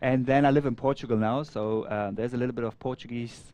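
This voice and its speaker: Talking at a very fast pace, a man has a medium pitch and ordinary pitch variation. His tone is dark and mellow. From Afghanistan. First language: Persian. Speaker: surf event organizer and co-commentator. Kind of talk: casual interview chat. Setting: commentary booth. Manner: halting, repeats words.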